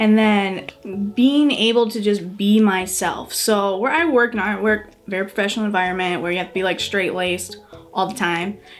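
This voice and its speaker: Noticeable background noise sits behind a woman with a slight Wisconsin accent. She talks at a moderate pace with hardly any pauses, a medium pitch and ordinary pitch variation. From US Midwest, Superior, Wisconsin. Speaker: cosplayer and parent. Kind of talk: casual interview chat.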